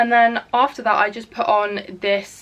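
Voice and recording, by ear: At a fairly slow pace, a woman speaks with medium pitch and a fairly bright tone.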